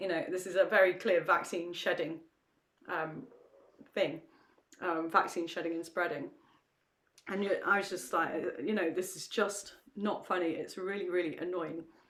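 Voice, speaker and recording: A woman in an English accent at medium pitch and moderate pace, with ordinary pitch variation and long, frequent pauses. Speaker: campaign discussion host. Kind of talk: casual chat.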